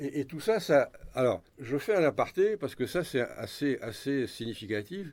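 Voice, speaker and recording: A man at a fairly high pitch with very wide pitch swings, speaking at a fairly slow pace on a very clean recording with a silent background. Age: 70s. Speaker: author and historian. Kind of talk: radio interview. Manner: halting, many repetitions.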